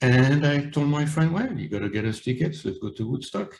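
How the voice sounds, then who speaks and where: At a fairly quick pace, a man with a strong French accent speaks in a somewhat breathy voice with lively intonation. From France, Paris. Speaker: author. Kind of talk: interview.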